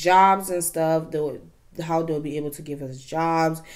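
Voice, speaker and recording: A woman speaks at a fairly slow pace in a fairly low voice, her intonation fairly even against a quiet background. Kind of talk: casual vlog chat. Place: home room.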